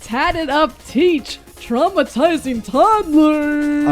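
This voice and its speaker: A woman's high, put-on character voice at a very slow pace, with faint music in the background. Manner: close to the mic, announcer-like.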